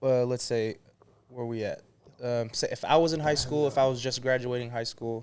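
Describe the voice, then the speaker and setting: A man with a plain, everyday voice, at a medium pitch and moderate pace, with fairly even intonation. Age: late 20s. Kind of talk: casual chat.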